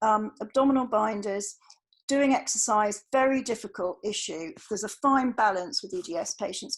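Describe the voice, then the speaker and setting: Over a quiet background, a woman with a British accent speaks at a moderate pace and medium pitch, with ordinary pitch variation. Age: 50s. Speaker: doctor giving talk to GPs. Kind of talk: lecture.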